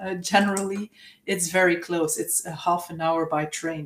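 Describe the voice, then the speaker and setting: A woman with a Dutch accent, fairly slow and fairly even in intonation, over noticeable background noise. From Flanders, Belgium. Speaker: university representative. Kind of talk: presentation. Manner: hesitant, many fillers.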